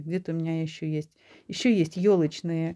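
A woman speaks at a fairly slow pace. The background is quiet. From Latvia. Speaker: video blogger. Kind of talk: casual monologue showing photos. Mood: warm, nostalgic. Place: home room. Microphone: phone near.

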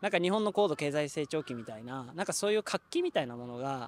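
Very fast, lively speech from a fairly high-pitched man, with a dry sound with no echo and light background noise. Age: 20s. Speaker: street interviewee; interviewee. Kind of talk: street interview. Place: open country. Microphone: handheld.

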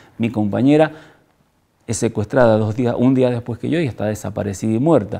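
A man's dark, mellow voice with ordinary pitch variation over a quiet background. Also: fairly quick pace. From Argentina, Mendoza; Argentina. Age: 60s. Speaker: former political prisoner and human rights activist. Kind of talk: testimony. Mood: grave, reflective.

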